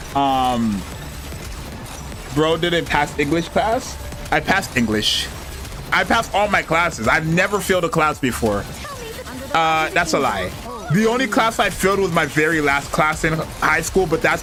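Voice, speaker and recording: Very wide pitch swings and long, frequent pauses come at a moderate pace over music in the background. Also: man, fairly high pitch for a man. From Canada. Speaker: gaming streamer. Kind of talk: casual chat. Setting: livestream. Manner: animated.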